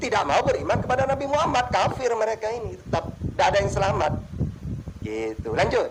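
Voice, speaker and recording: Noticeable noise sits behind a man who speaks at a very fast pace. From East Java, Pasuruan. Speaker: Islamic preacher in interfaith debate. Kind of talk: religious debate. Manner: animated.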